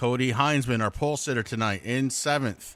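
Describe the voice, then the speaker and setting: The speaker has a Vermont accent. The pace is moderate. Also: man. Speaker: sim racing commentator. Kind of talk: live commentary.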